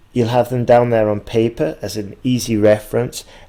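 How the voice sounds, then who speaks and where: A man with a slight northern English accent speaks at a fairly slow pace. His medium-pitched voice is dark and mellow, with fairly even intonation. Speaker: English exam teacher. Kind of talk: tutorial.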